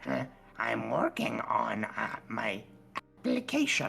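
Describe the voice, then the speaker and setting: A put-on character voice over clear music in the background. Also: fairly slow pace. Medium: actual play. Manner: hesitant, stammering, polite.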